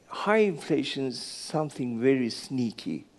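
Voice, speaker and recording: With a Turkish accent, the speaker's pitch swings very widely. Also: man. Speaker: business executive. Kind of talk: fireside chat. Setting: stage with audience. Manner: halting.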